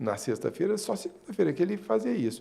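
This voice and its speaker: A man speaks with very wide pitch swings. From Minas Gerais, Brazil (Uberlândia). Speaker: marketing consultant. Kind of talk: interview.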